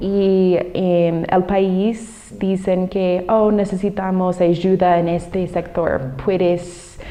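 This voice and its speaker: Speaking at a very slow pace with hardly any pauses, a woman keeps a monotone, flat intonation over noticeable background noise. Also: medium pitch for a woman. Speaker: former Peace Corps volunteer and teacher. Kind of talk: interview. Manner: halting, with many fillers.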